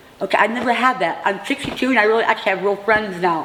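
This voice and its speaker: Over noticeable background noise, a woman talks at a very fast pace with a fairly high pitch and lively intonation. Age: 60s. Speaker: formerly homeless housing resident. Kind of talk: interview testimony. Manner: halting.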